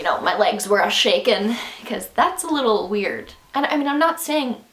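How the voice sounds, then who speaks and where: Speaking with a Canadian accent, a woman keeps a moderate pace and sounds animated, her intonation lively against noticeable background noise. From Canada. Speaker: vlogger and musician. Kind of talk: casual vlog monologue. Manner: halting.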